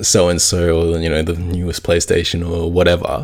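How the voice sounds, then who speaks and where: A man with an Australian accent speaks in a very deep, low pitch. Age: 20s. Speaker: podcast host. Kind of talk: personal monologue. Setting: at home in quarantine.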